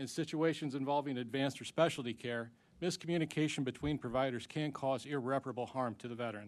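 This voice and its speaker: Talking at a very fast pace, a man uses a medium pitch and an American accent. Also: ordinary pitch variation. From Ozarks. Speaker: veterans advocate testifying at hearing. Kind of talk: prepared testimony at congressional hearing. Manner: formal.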